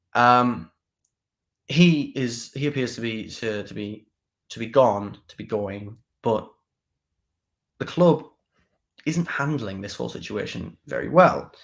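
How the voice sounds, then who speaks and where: Speaking in a Teesside accent at a medium pitch, a man talks at a fairly slow pace with lively intonation, big swings in loudness, and long, frequent pauses, on a very clean recording with a silent background. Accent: northeast England (Teesside). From northeast England, Middlesbrough area. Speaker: political talk show host. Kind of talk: live political commentary show. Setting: live stream. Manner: casual, with frequent repetitions and fillers.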